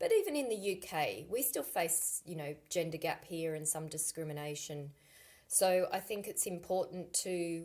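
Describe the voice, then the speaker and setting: Woman with an Australian accent, fairly low in pitch, at a fairly slow pace, on a very clean recording with a silent background. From Australia, Sydney. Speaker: climate consultant. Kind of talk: school guest talk.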